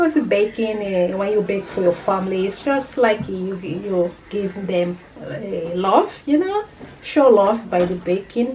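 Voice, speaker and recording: A woman speaks at a fairly slow pace, her pitch medium with ordinary variation. Noticeable background noise runs under her voice. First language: not English. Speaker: cooking channel host. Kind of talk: cooking tutorial. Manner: casual, hesitant with fillers.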